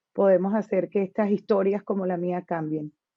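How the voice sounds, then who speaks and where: Here is a woman speaking. Her pitch is medium. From Colombia, Barranquilla. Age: 40s. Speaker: interview guest, musician. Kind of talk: personal testimony.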